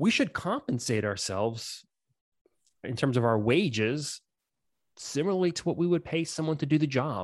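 A fairly high-pitched man talks at a fairly quick pace with lively intonation. The background is quiet, and the sound is dry and close with no echo. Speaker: insurance agency owner and financial planner. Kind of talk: casual podcast interview. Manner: casual, animated.

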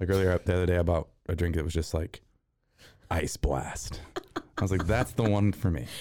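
A man talks at a fairly quick pace with a very deep, low pitch, a dark, mellow tone and vocal fry. His loudness stays very even, long pauses come often, and the very clean recording has a silent background. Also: ordinary pitch variation. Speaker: podcast co-host. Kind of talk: casual chat.

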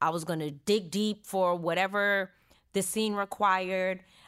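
On a very clean recording with a silent background, the voice has an American accent, a bright, sharp tone and monotone, flat intonation. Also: woman. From California, Stockton. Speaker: actor and YouTuber. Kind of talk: interview.

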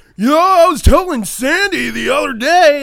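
Put-on character voice from a man, pitched extremely high, delivered at a moderate speed. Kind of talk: casual, slangy. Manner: loud, oblivious.

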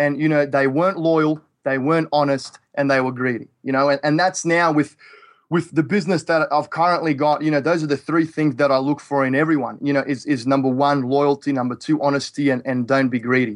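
A man with an Australian accent talks fairly quickly in a fairly high voice with fairly even intonation. His loudness stays very even against a quiet background. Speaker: real estate investor. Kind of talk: interview.

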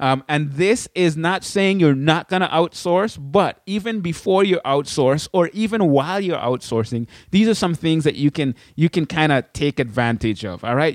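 In a Caribbean accent, a man with a fairly high voice speaks at a moderate pace with lively intonation and an animated tone, in a dry, close sound with no echo. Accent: Caribbean, put on for the intro only. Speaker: podcast host, blogging educator. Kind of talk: casual solo tutorial. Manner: animated, laughing.

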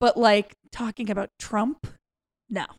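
A woman talks at a medium pitch with monotone, flat intonation. The recording is very clean, with a silent background and a dry, close sound with no echo. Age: 40s. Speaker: stand-up comedian. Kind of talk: casual chat.

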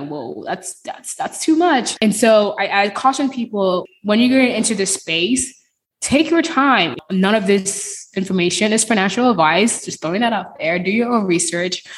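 A woman's fairly high, somewhat breathy voice with lively intonation, a moderate pace and hardly any pauses. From Nigeria. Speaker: cloud engineer and podcaster. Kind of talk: casual interview.

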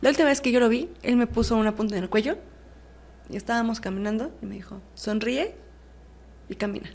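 A woman speaks at a fairly high pitch with ordinary pitch variation and big swings in loudness. Her pauses are long and frequent. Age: 20s. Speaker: prison inmate. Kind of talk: testimony.

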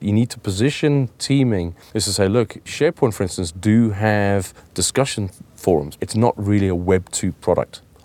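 A man's fairly low, dark and mellow voice with ordinary pitch variation, dry and close with no echo. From South Africa, Cape Town. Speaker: software reseller. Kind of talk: business interview. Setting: studio.

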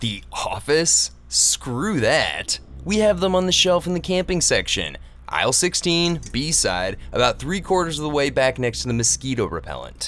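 A man puts on a whiny character voice. He speaks at a moderate pace against clear background noise. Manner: whiny, sardonic.

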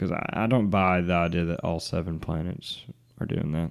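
A man's very deep, low voice in an Alabama accent, on a very clean recording with a silent background. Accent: Southern US (Alabama). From US South. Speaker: podcast co-host. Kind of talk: casual chat.

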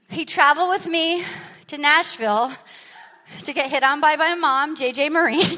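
A woman's raised, projected voice, high in pitch and bright and sharp in tone, with ordinary pitch variation. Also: moderate pace. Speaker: podcast host and stand-up comedian. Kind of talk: live comedy podcast banter. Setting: stage with audience. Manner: animated, rambling.

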